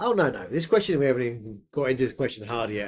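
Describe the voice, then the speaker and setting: A man speaks very fast at a fairly high pitch with a slight northern English accent. The recording is very clean, with a silent background. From England, Yorkshire/Suffolk family. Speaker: podcast co-host, creator. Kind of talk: casual chat. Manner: animated.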